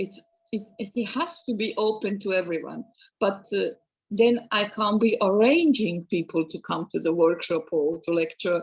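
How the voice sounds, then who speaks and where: With a Serbian accent, a woman speaks at a moderate pace, her medium-pitched voice carrying lively intonation. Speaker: museum educator. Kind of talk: Q&A discussion. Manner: halting, hesitant.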